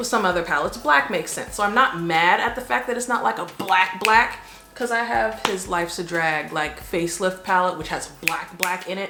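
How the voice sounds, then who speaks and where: Lively intonation marks a woman's fairly low voice at a moderate pace. Audible room echo and noticeable background noise fill the recording. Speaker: beauty vlogger. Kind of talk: product review vlog. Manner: casual, conversational.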